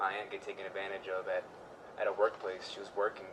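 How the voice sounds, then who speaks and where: This man speaks at a fairly quick pace. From Houston, Texas. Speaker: community outreach organizer. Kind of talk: interview. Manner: halting, many fillers.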